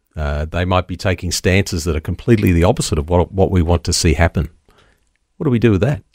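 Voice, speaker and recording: A somewhat breathy voice in an Australian accent speaks at a very fast pace with a dry, close sound and no echo. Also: man, ordinary pitch variation. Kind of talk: radio interview. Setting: studio.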